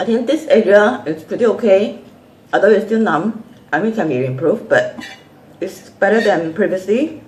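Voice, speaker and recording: Noticeable background noise sits behind a woman with a medium pitch. She speaks at a moderate pace with lively intonation. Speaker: vlogger with a chronic illness. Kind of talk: casual vlog chat. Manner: halting.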